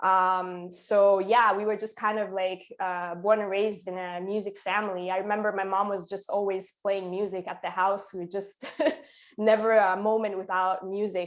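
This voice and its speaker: With an Italian accent, a woman speaks in a medium pitch and a monotone, flat intonation. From Italy, Sicily. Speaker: musician and concert promoter. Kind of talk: interview. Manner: casual, hesitant with fillers.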